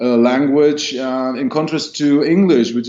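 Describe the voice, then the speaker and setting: In a German accent, a man of medium pitch speaks at a fairly slow pace. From Germany. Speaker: rock band singer. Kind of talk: interview. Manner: halting, many fillers.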